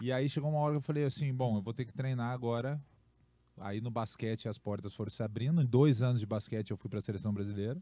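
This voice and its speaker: Talking at a very fast pace, a man has a dark, mellow tone and ordinary pitch variation, recorded with a dry sound and no echo. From Rio Grande do Sul, Brazil. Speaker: professional basketball player; podcast guest. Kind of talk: casual podcast interview. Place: studio. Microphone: studio mic.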